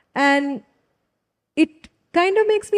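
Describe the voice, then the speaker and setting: This voice has a dark, mellow tone and very wide pitch swings, with an Indian accent. The background is quiet. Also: woman. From India, Kerala (Trivandrum). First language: Tulu. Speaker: writer. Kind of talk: festival panel conversation. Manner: casual, conversational.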